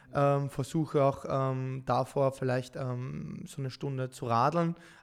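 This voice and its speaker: In an ordinary speaking voice, a man talks with fairly high pitch and fairly even intonation. The recording is very clean, with a silent background. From Austria, Vienna. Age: 30s. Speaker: professional esports gamer. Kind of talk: podcast interview.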